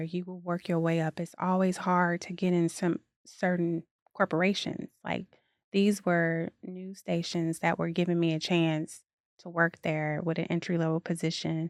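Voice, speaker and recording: In an American accent, a woman with a fairly low pitch speaks at a moderate pace in a monotone, flat way, on a very clean recording with a silent background and a dry, close sound with no echo. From Chicago, US Midwest. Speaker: dance fitness founder, advertising professional. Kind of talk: podcast interview. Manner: casual, conversational.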